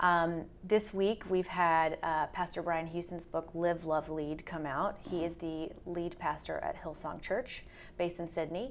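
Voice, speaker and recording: Fairly slow and low-pitched, a woman speaks in an unremarkable speaking voice with fairly even intonation and hardly any pauses. The recording is very clean, with a silent background. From US South. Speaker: literary agent. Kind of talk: interview conversation.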